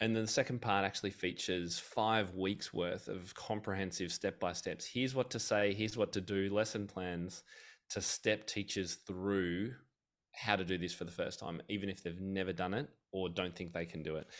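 In a very clean recording with a silent background, a man talks at a fairly low pitch. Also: fairly even intonation, moderate pace. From Australia. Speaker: piano teacher and author. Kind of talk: casual interview.

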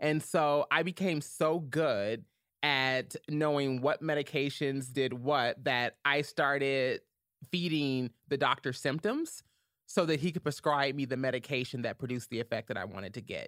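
On a very clean recording with a silent background and a dry, close sound with no echo, a woman with an American accent speaks at a moderate pace in a very deep, low pitch with ordinary variation. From US South, Louisville, Kentucky. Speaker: activist and journalist. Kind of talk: podcast interview, personal testimony.

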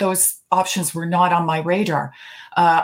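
A woman with a plain, everyday voice and a Canadian accent speaks at a moderate pace in a fairly low pitch. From Canada, Toronto. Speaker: retired judge. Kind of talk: interview.

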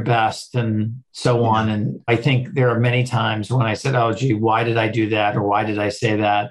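A man with an American accent speaks at a moderate pace, somewhat breathy, with fairly even intonation. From Boston, Massachusetts. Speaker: non-profit CEO. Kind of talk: interview.

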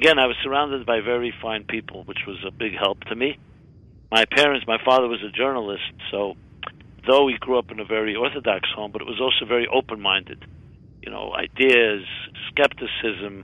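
With an American accent, a man uses an ordinary speaking voice at medium pitch, talking at a fairly quick pace with fairly even intonation and big swings in loudness. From US, Brooklyn New York. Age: 60s. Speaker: rabbi and author. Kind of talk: interview.

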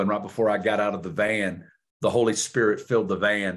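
In a Southern accent, a man with a fairly low pitch talks at a fairly quick pace with monotone, flat intonation against a quiet background. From US South, Northwest Arkansas. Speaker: preacher. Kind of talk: testimony.

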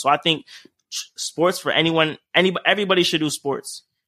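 A man with a plain, everyday voice, fairly even intonation, and a fairly quick pace. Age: 20s. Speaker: entrepreneur. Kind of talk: casual chat.

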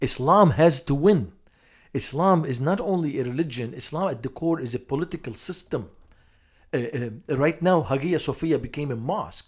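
A man with a fairly high pitch, lively intonation and a moderate pace, in a very clean recording with a silent background. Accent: Lebanese. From Lebanon, Beirut. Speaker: missionary to Muslims. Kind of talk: interview.

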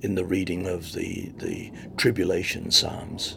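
A man speaks with an Australian accent. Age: 70s. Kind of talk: interview testimony. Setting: recorded on location while host travels.

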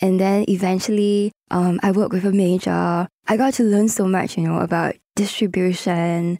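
A woman with a Singaporean accent has a dark, mellow tone at a medium pitch. She keeps a moderate pace, fairly even intonation and very even loudness. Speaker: singer-songwriter and producer. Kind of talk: casual interview. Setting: studio.

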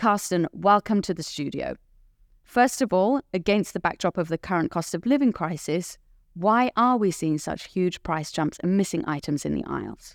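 A woman with a British accent speaks at a moderate pace in a medium voice with lively intonation. The recording is very clean with a silent background, and the sound is dry and close with no echo. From Britain. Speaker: podcast host. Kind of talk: scripted introduction; interview. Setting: studio.

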